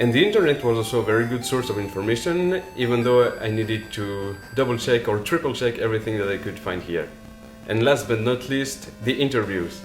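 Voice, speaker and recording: Over background music and audible room echo, a man with medium pitch talks at a fairly quick pace. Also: ordinary pitch variation. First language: French. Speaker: author. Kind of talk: video update talk to viewers.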